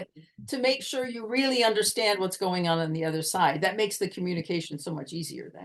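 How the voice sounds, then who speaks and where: Talking at a very fast pace with hardly any pauses, this speaker has an American accent, lively intonation and big swings in loudness. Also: woman, medium pitch for a woman. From United States. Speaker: communication coach. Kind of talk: podcast interview answer.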